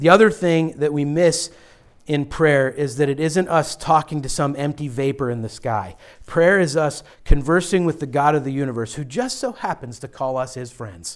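On a very clean recording with a silent background, a man talks at a moderate pace and fairly high pitch, with ordinary pitch variation and big swings in loudness. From western Pennsylvania, Pittsburgh area. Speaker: pastor. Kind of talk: sermon. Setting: church. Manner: forceful.

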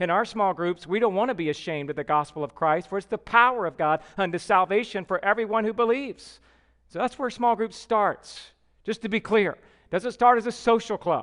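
A man with a Southern US accent speaks in a high voice at a fairly quick pace. The sound is dry and close with no echo, over a quiet background. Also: ordinary pitch variation. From US South (Georgia). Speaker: pastor. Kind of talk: sermon. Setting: church.

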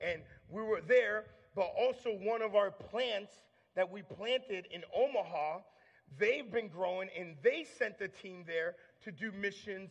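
A man with an American accent speaks in a high pitch at a fairly slow pace. His tone is energetic, with big swings in loudness. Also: ordinary pitch variation. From US Northeast, Long Island, New York. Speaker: campus minister. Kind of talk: sermon. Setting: church.

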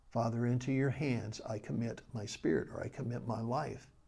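A man speaks at a moderate pace with a somewhat breathy, dark and mellow tone at medium pitch. His pitch varies in an ordinary way, and audible room echo surrounds the voice. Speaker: Bible study teacher. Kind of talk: Bible study lecture; prayer. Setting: recorded video for a study group.

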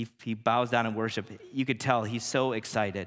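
A man with an American accent speaks at a moderate pace in a normal speaking voice, his medium pitch carried by fairly even intonation. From Illinois, Chicago area. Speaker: pastor. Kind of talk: sermon. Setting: church.

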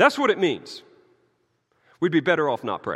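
A man's raised, projected voice in a Southern US accent, bright and sharp in tone, with very wide pitch swings. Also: very clean recording, silent background. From US South. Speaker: pastor. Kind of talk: sermon.

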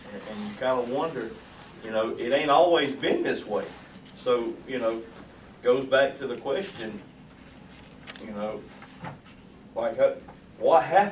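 In a Southern US accent, a man talks at medium pitch and a fairly slow pace with long, frequent pauses and big swings in loudness, amid audible room echo and noticeable background noise. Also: lively intonation. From US South. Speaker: class member. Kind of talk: casual chat. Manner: soft-spoken.

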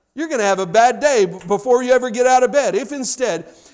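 A man's animated voice at an extremely high pitch, with noticeable background noise. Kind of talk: sermon. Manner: animated, rallying, call-and-response; earnest, encouraging, conversational.

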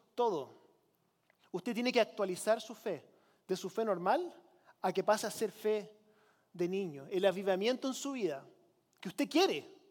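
Here a man speaks with a high pitch and ordinary pitch variation. His pace is moderate. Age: 40s. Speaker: pastor. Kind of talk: sermon.

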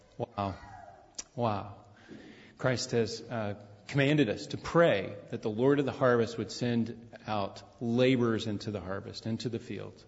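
With long, frequent pauses, a man speaks at a fairly slow pace in a medium, somewhat breathy voice with ordinary pitch variation. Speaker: pastor. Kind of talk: church announcements and prayer. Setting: church service.

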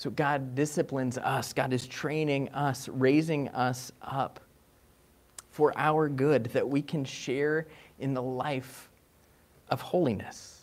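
The intonation stays fairly even. The pace is slow. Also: man, medium pitch for a man.

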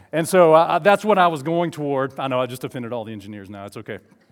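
A man with an Alabama accent, at a very fast pace and with very wide pitch swings. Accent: Southern US (Alabama). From US South, southeast and north Alabama. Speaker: guest preacher. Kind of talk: sermon. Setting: church with congregation.

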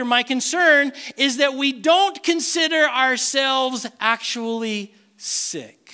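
Pitched extremely high, a man speaks in a raised, projected voice with ordinary pitch variation. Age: 50s. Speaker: pastor. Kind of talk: sermon.

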